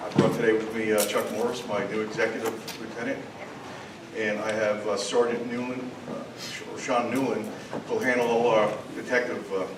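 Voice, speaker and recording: A man with an American accent speaks at a medium pitch in a monotone, flat intonation, pausing long and often. Audible room echo and noticeable background noise fill the recording. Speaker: police district commander. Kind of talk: community meeting report.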